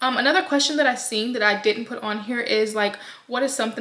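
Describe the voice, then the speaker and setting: A woman's fairly high voice at a very fast pace, with fairly even intonation and noticeable background noise. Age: 20s. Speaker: vlogger. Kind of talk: casual vlog talk. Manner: chatty, hesitant with fillers.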